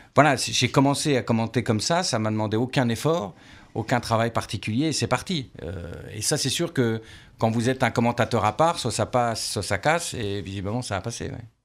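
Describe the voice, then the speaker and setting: Someone speaks at a fairly quick pace with ordinary pitch variation on a very clean recording with a silent background. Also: man, medium pitch for a man. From France, Lorraine (Nancy). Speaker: former football radio commentator. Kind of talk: radio interview. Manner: energetic.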